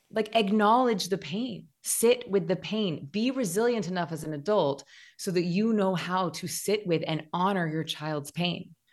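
A woman with a plain, everyday voice speaks at a fairly slow pace, with hardly any pauses and a medium pitch. Her pitch varies in an ordinary way against a quiet background. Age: 40s. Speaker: meditation teacher and author. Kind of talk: casual interview chat.

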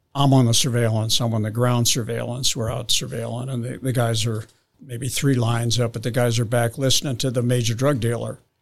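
A somewhat breathy man with an American accent, fairly quick pace and monotone, flat intonation. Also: medium pitch for a man. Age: 70s. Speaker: retired drug investigator. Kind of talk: storytelling.

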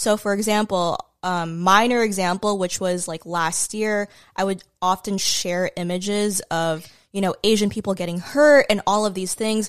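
In a very clean recording with a silent background, a woman with an ordinary speaking voice talks at a moderate pace and medium pitch, her intonation fairly even. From US, immigrated from the Philippines as a small child. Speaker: social media content creator. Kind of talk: casual chat. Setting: at her home.

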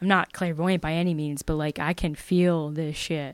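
A woman talks with a Philadelphia accent in a very clean recording with a silent background. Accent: Philadelphia-area. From Pennsylvania, Bucks County (Levittown). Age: 30s. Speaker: actor and comedian. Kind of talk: casual chat.

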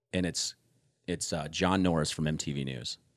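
Ordinary pitch variation at a fairly quick pace, on a very clean recording with a silent background. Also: man. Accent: Midwestern American. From Omaha, Nebraska (South Omaha). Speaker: former TV music news presenter. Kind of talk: casual chat.

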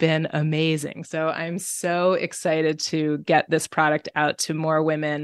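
With an American accent, a woman speaks in a very deep, low pitch and a monotone, flat intonation, hardly pausing, her voice dry and close with no echo against a quiet background. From New York. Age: 40s. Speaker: entrepreneur. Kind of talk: interview. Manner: filler-heavy, halting.

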